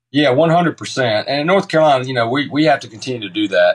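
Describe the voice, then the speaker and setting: A man speaks very fast with a Southern US accent. Noticeable background noise runs behind him. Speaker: baseball coach. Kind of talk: radio interview.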